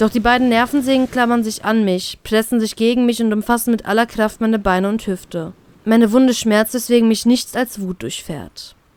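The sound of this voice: A woman speaks at a moderate pace in a fairly high pitch with a slightly mellow tone. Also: fairly even intonation.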